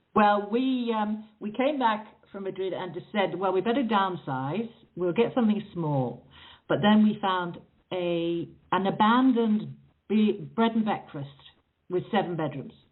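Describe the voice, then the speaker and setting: A woman with an English accent speaks fairly slowly with lively intonation. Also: medium pitch for a woman. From England, raised partly in South Africa. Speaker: author. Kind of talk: interview. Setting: phone call.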